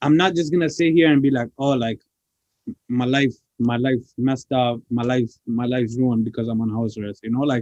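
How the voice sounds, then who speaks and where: Here is an unremarkable speaking voice, a man at a medium pitch with ordinary pitch variation. He talks at a fairly quick pace in a dry, close sound with no echo. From Toronto, Canada (moved from Pakistan as a child). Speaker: rapper. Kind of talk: interview. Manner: casual, filler-heavy.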